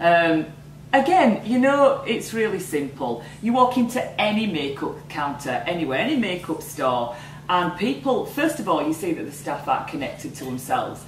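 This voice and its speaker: Delivered at a moderate pace in a northern English accent, the speech shows very wide pitch swings, with audible room echo and noticeable background noise. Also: woman, fairly low pitch for a woman. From northern England. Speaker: entrepreneur. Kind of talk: interview. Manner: animated.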